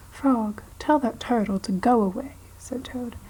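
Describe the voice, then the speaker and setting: A woman is whispering. She is soft-spoken. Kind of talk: children's book reading. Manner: soft-spoken, whispered.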